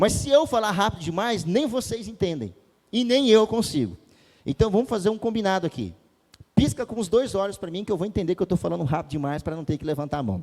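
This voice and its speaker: This man talks loudly at a very fast pace. His high pitch carries lively intonation. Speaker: pastor. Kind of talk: sermon. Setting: church.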